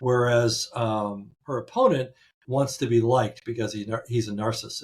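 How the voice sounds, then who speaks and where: Somewhat breathy, a man talks at a moderate pace and medium pitch with fairly even intonation. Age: 70s. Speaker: interviewee voter. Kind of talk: interview. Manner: halting.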